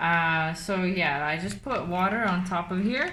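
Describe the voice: There is audible room echo as a woman with a fairly low, bright, sharp voice speaks at a fairly slow pace. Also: ordinary pitch variation.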